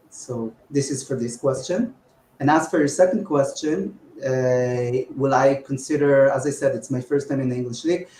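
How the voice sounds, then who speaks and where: This man's voice is somewhat breathy, with a dark, mellow tone and a fairly high pitch. He speaks at a moderate pace with ordinary pitch variation. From Israel. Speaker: mafia game player. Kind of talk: interview. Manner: hesitant, many fillers.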